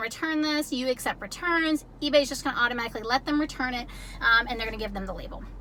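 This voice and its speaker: Through noticeable background noise, a woman's high, raised and projected voice carries with ordinary pitch variation. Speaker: ebay reseller youtuber. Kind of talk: tutorial. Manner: fast.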